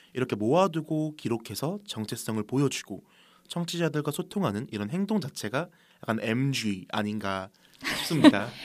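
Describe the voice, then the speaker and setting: A man at medium pitch and moderate pace speaks with very wide pitch swings. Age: 20s. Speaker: podcast co-host, college student. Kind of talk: casual chat. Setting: studio.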